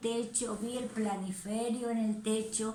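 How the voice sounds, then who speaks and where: The speech moves at a fairly slow pace. An audible room echo can be heard. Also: woman. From Argentina (La Rioja). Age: 60s. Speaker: missionary. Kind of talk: testimony.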